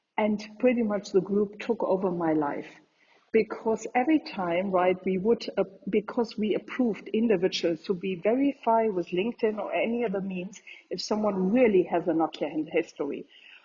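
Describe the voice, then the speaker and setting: A woman at medium pitch with a German accent, ordinary pitch variation, and a moderate pace. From Germany. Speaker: entrepreneur, community founder. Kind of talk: interview answer.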